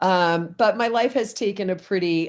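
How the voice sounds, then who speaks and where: Using a plain, everyday voice, a woman speaks at a moderate pace in a medium pitch with ordinary pitch variation. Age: 60s. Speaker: direct sales wine consultant. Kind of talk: interview. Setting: Facebook live video.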